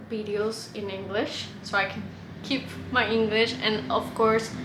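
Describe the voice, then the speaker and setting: In a room with audible echo, a woman with a fairly high pitch talks at a very slow pace in a monotone, flat delivery. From Mexico. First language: Spanish. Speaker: vlogger. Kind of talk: casual vlog. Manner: hesitant, many fillers.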